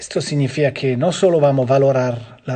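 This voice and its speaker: Somewhat breathy, with a non-native accent, a man speaks at a fairly high pitch in a dark, mellow tone. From Switzerland. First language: Swiss language (German, French or Italian) (speaking Spanish). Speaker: physiotherapy instructor. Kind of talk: online lecture. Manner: halting, with filler sounds.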